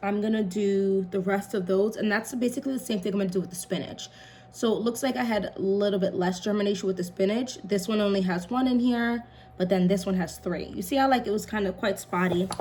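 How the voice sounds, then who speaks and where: A woman speaks quietly at a very fast pace, medium in pitch with fairly even intonation. Noticeable background noise runs underneath. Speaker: home gardening vlogger. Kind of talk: casual tutorial while working. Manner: quiet, focused.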